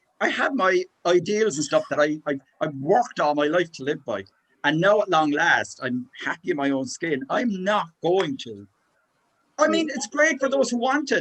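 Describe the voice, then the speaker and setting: A man with a Cork accent speaks in a high pitch with an animated tone and very wide pitch swings. The sound is dry and close, with no echo. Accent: Cork Irish. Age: 60s. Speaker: book club member. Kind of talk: casual chat. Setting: video call.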